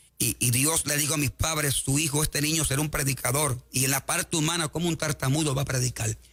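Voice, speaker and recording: Noticeable background noise surrounds a man's fairly high voice. He talks very fast, with hardly any pauses and very even loudness. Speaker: evangelist. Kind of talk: sermon. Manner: animated.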